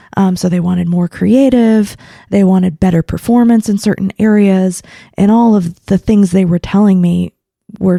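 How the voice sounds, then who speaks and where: Recorded dry and close with no echo, a woman with an American accent speaks at a medium pitch, her tone dark and mellow, somewhat breathy, with ordinary pitch variation. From Oklahoma. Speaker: marketing consultant. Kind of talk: podcast interview. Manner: halting, many fillers.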